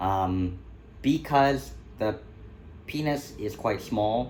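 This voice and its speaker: A man's somewhat breathy, fairly low voice shows ordinary pitch variation. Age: 30s. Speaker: YouTuber. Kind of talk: Q&A vlog. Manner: casual, hesitant with fillers.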